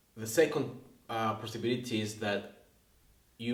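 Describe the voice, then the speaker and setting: A man speaks at a very slow pace with a Spanish accent. His pitch is medium. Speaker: English teacher. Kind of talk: casual talk to camera.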